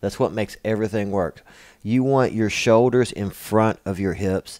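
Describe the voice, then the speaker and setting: Speaking with a Kentucky accent, a man uses a fairly low pitch and fairly even intonation. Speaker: martial arts instructor. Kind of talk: tutorial. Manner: casual, with many fillers.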